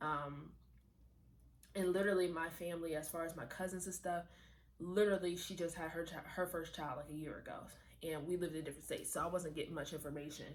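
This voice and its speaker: A woman's animated, fairly low voice at a very fast pace, with audible room echo. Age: 20s. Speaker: lifestyle vlogger. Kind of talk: casual chat.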